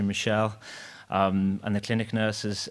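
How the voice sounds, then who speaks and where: The audio is very clean with a silent background. The speaker's intonation is monotone and flat. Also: man. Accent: Liverpool. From Liverpool, England. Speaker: surgeon, former fellow of the deceased. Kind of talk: eulogy. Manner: fast.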